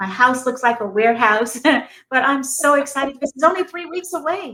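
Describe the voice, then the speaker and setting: A woman speaks in a raised, projected voice with a bright, sharp tone and high pitch. Her intonation is lively and her pace fairly quick. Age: 60s. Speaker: army veteran and peace advocate, motivational speaker. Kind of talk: radio interview. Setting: studio.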